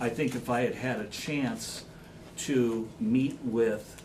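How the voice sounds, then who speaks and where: Heard with audible room echo, a man speaks at a medium pitch with fairly even intonation. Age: 60s. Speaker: school administrator. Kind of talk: public meeting discussion.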